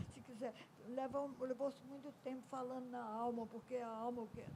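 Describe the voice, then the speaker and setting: A woman's fairly high voice in a dark, mellow tone. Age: 90s. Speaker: educator and ethnomusicologist. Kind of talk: panel discussion.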